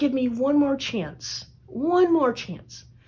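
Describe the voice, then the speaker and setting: A female-sounding, put-on character voice, high in pitch and very slow. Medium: read story.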